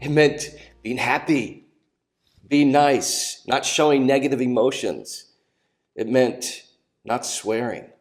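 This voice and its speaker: A very slow voice with an American accent over music in the background. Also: man, long, frequent pauses. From Minnesota, US Upper Midwest. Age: 50s. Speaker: musician and storyteller. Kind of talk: documentary narration.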